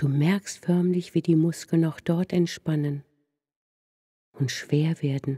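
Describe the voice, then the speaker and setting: In a soothing tone, the speaker moves at a very slow pace with long, frequent pauses. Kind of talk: guided meditation. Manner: slow, hushed, soothing.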